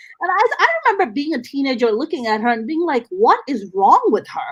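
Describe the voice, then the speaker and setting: In an animated tone, a woman with a high pitch talks at a fairly quick pace, her voice making very wide pitch swings over noticeable background noise. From South Asia. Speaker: podcast host. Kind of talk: casual chat.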